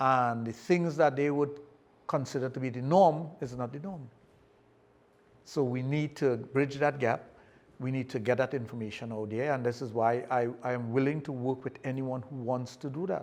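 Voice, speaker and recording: A man with fairly even intonation at a moderate pace. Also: medium pitch for a man. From Trinidad and Tobago. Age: 60s. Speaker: sexologist. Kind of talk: podcast interview.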